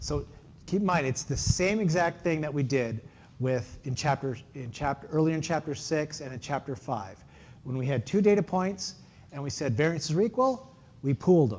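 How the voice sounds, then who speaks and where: Lively intonation marks this man's speech at a moderate pace. His pitch is fairly high and his voice somewhat breathy. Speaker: university lecturer. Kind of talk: lecture.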